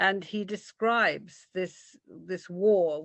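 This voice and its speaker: A woman speaks with a British accent. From Britain. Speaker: art lecturer. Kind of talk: illustrated art talk. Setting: video call. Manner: animated.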